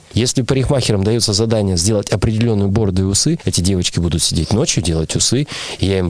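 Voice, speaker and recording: Amid noticeable background noise, a man talks at a very fast pace with a fairly low pitch and ordinary pitch variation. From Russia, Urals (Nizhny Tagil). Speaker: theatre artistic director and actor. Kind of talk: interview.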